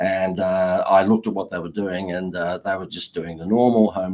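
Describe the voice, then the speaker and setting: A man with an Australian accent speaks at a very deep, low pitch. His intonation is flat and monotone at a fairly quick pace. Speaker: marketing consultant and author. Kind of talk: interview.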